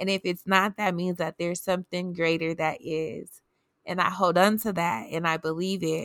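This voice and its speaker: A woman speaks in a plain, everyday voice, fairly low in pitch, at a moderate pace with fairly even intonation, the sound dry and close with no echo. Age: 30s. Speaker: podcast host. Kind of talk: casual inspirational monologue.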